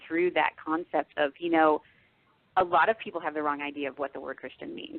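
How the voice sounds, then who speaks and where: A woman's very deep, low voice in an American accent, at a fairly quick pace. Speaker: novelist. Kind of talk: radio interview.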